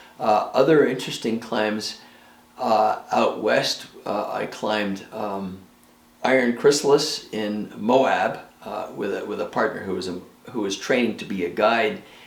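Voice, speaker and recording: Against noticeable background noise and audible room echo, a man speaks fairly slowly at a fairly low pitch with ordinary pitch variation. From New York State. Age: 70s. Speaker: retired clock restorer and rock climber. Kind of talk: documentary interview. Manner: halting, many fillers.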